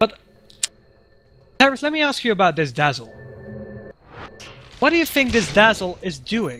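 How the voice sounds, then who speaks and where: A man uses a raised, projected voice with very wide pitch swings. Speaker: game commentator. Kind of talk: live commentary. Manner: animated; halting.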